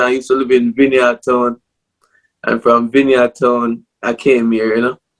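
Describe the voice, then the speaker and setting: A man speaks in a Jamaican accent at a moderate pace. The sound is dry and close, with no echo. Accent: Jamaican English with patois. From Jamaica, Port Maria, Saint Mary (rural). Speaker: clothing brand owner, former musician. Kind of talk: casual interview.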